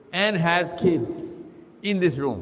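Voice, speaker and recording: The speech has lively intonation, with audible room echo and noticeable background noise. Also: man. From Pakistan. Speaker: Islamic speaker. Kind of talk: live talk with audience Q&A. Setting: stage with audience. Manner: animated.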